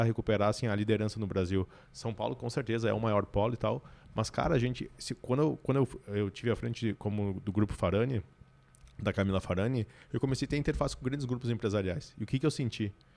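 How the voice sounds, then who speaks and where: Very fast speech from a man, medium-pitched with ordinary pitch variation. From Brazil, Rio Grande do Sul interior (Santiago). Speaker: business consultant and CEO. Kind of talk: podcast interview conversation. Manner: animated.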